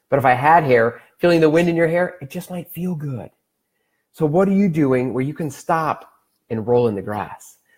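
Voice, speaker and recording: Captured in a very clean recording with a silent background, a man speaks with lively intonation. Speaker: wellness livestream host. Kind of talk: live stream talk.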